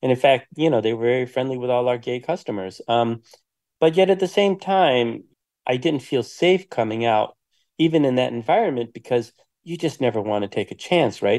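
With an American accent, a man in an unremarkable speaking voice talks at a moderate pace, his medium pitch carrying lively intonation. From US Midwest, Detroit. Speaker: documentary filmmaker and writer. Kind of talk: interview.

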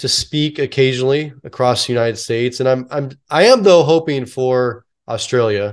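Against a quiet background, a man with a General American accent and an unremarkable speaking voice talks at a fairly quick pace. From US West Coast, San Francisco Bay Area. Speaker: retired police officer and public speaker. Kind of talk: interview.

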